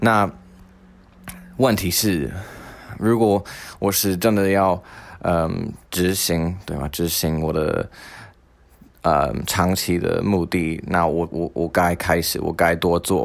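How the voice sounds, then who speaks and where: A man talks at a very slow pace with long, frequent pauses. His pitch is very deep and low, and the recording is very clean with a silent background. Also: ordinary pitch variation. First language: not Mandarin (speaking Chinese). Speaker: podcast host. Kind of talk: solo monologue.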